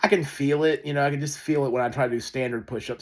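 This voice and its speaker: The recording of this man is very clean, and the background is silent. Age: 40s. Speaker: vlogger. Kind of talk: casual monologue vlog. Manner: halting, many fillers.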